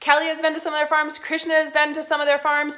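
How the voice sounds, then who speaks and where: In a high, raised and projected voice, a woman speaks with a bright, sharp, animated tone. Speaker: essential oils class presenter. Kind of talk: live online class. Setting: Facebook live stream. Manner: fast.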